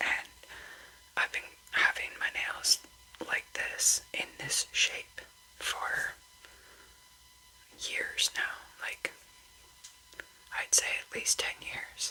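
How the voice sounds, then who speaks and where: Whispered at a very slow pace with long, frequent pauses, the voice sits over noticeable background noise. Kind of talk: casual talk to camera, nail care tips. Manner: whispered, slow.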